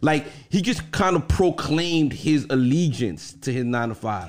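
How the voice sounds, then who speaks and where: A man's lively intonation with vocal fry, at a moderate pace. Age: 40s. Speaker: podcast co-host. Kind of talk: casual chat.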